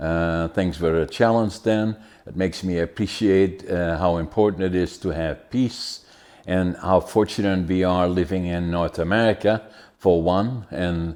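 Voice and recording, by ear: A man's low voice with a slightly mellow tone, fairly even intonation and a fairly slow pace, on a very clean recording with a silent background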